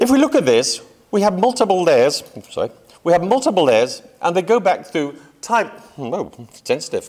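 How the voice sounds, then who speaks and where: A man's high voice with very wide pitch swings, a moderate pace, and long, frequent pauses. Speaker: photography historian, lecturer. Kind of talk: lecture.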